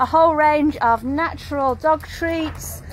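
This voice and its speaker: A woman with a high pitch and ordinary pitch variation is heard in a dry sound with no echo and light background noise. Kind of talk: casual walkthrough commentary. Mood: upbeat, promotional. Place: market. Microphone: phone near.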